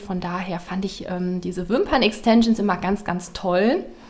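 A woman speaking at a fairly slow pace amid noticeable background noise. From Ruhr area, western Germany (Waltrop). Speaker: beauty salon owner. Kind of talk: casual interview. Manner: hesitant, many fillers.

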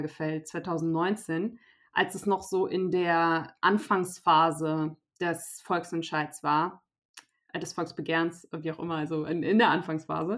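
In an unremarkable speaking voice, a woman speaks at a fairly low pitch and fairly slow pace, in a very clean recording with a silent background. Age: 20s. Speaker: youth party politician. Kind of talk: interview.

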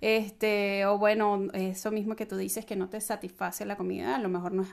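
A woman uses a normal speaking voice at a medium pitch, keeping a moderate pace and fairly even intonation. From Venezuela. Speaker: co-host, home cook. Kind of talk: casual chat.

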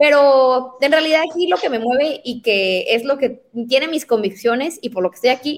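Her pitch is high and rises and falls over a very wide range. This woman talks at a moderate speed. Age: 20s. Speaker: city councillor. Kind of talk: political interview.

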